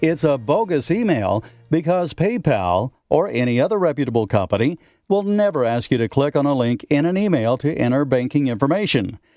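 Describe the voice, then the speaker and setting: Over music in the background, a man talks at a fairly quick pace with a fairly high pitch, very wide pitch swings, and very even loudness. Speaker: radio broadcaster. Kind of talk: radio feature segment.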